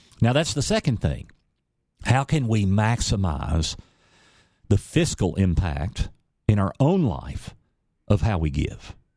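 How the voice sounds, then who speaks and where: Pitch swings very widely over a fairly slow delivery, with long, frequent pauses, a quiet background and a dark, mellow tone. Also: man, fairly low pitch for a man. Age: 50s. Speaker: radio host and financial advisor. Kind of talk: radio talk show, financial advice. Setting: radio studio.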